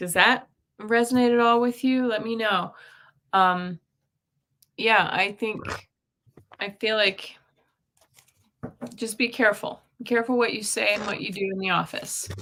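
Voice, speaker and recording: A woman's fairly high voice at a moderate pace, with fairly even intonation and long, frequent pauses. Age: 50s. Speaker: intuitive reader and energy healer. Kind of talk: casual chat with card readings.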